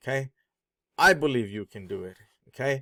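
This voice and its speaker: A man with a non-native accent and very wide pitch swings, speaking at a fairly slow pace on a very clean recording with a silent background. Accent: foreign accent audible. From born abroad, immigrant. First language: not English. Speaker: online marketing vlogger. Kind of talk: sales pitch.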